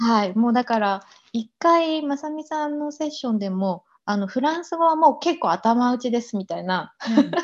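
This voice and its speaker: A woman with a high pitch talks at a moderate pace with lively intonation. The background is quiet. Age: 40s. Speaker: embroidery artisan. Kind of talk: interview.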